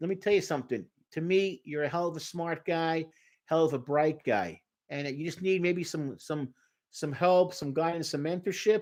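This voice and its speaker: On a very clean recording with a silent background, a man with a strong Brooklyn accent speaks at a high pitch and moderate pace with ordinary pitch variation. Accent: thick Brooklyn. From New York, Brooklyn. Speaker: therapist. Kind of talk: live stream Q&A. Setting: live stream. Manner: animated.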